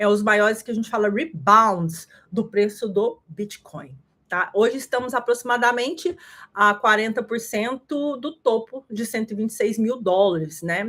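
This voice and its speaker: Lively intonation runs through an ordinary speaking voice at a moderate pace, in a very clean recording with a silent background. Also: woman. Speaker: crypto market analyst. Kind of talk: livestream market analysis. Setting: live stream.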